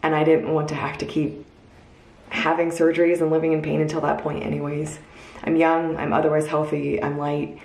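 Speaking at a fairly quick pace, a woman with a very deep, low pitch keeps a monotone, flat intonation, and the room echo is audible. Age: 20s. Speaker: video blogger sharing personal story. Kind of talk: personal storytelling vlog. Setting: at home recording a video. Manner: casual, conversational. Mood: earnest, reflective, upbeat at end. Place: home room. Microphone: phone near.

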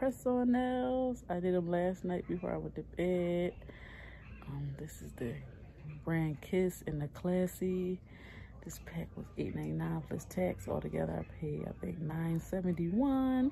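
A woman talks at a fairly slow pace while light background noise sits behind her. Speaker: mother vlogger. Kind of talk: casual vlog chat. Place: home room. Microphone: phone near.

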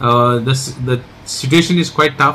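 A man speaks with fairly even intonation. Light background noise can be heard. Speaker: local politician. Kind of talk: public appeal statement. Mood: earnest, urgent. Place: home room. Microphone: phone near.

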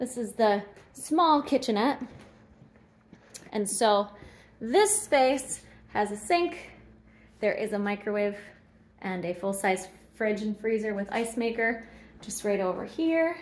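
A woman at a fairly slow pace, with lively intonation and long, frequent pauses. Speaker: inn host giving a tour. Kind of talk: casual walkthrough tour. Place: hall. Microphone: phone near.

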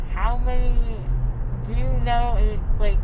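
Loud background noise surrounds speech delivered at a fairly slow pace. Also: woman. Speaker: vlogger after dental surgery. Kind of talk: casual vlog chat. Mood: groggy, amused storytelling. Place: car.

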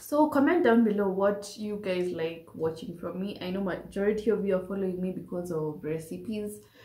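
At a moderate pace, a woman speaks in a dark, mellow tone with audible room echo. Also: medium pitch for a woman, ordinary pitch variation.

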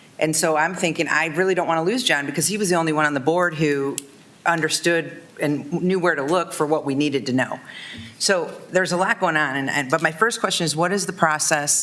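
Delivered at a fairly quick pace with ordinary pitch variation, the speech has noticeable background noise behind it. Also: woman, very deep, low pitch for a woman. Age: 50s. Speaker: city commissioner. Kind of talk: public meeting discussion. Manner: halting.

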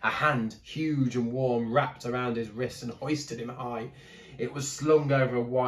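Simply a natural reading voice

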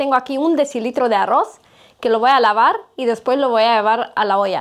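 A woman speaks at a high pitch with ordinary pitch variation and a moderate pace. The background is quiet. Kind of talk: cooking tutorial. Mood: warm and friendly. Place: kitchen.

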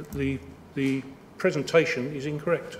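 A man talks with fairly even intonation against light background noise. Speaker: objector to a planning application; public speaker. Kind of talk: public representation at council meeting. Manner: blunt, terse. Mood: aggrieved, insistent. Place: meeting room. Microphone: podium.

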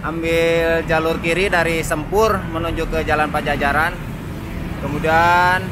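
Recorded with a dry sound and no echo, a man talks over noticeable background noise. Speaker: travel vlogger. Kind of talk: travel commentary. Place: street.

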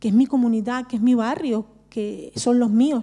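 Against a quiet background, a woman with a high-pitched voice and a dark, mellow tone speaks at a fairly slow pace. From Barcelona, Spain (Romani family of Andalusian roots). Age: 40s. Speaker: social worker and Romani activist; speaker. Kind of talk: personal testimony at a panel talk. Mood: earnest, reflective. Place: hall. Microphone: handheld.

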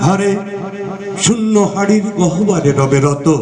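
Over noticeable background noise, a man speaks in a high voice whose pitch swings very widely. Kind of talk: poetry reading.

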